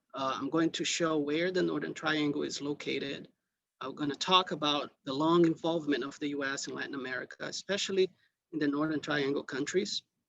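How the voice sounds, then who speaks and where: With a non-native accent, a man speaks with fairly even intonation. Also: fairly high pitch for a man. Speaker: invited lecturer. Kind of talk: lecture. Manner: deliberately slow; hesitant, many fillers.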